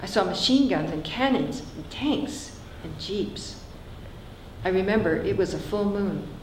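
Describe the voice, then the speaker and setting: Someone with an American accent speaks at a fairly slow pace, with big swings in loudness, audible room echo and noticeable background noise. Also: woman, medium pitch for a woman, lively intonation. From San Francisco. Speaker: author. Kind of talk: reading aloud.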